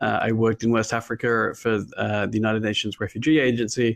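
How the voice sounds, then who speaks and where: A man with an Australian accent speaks at a fairly quick pace in a medium pitch against a quiet background. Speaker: machine learning consultant, invited speaker. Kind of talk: conference talk. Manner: halting, many fillers.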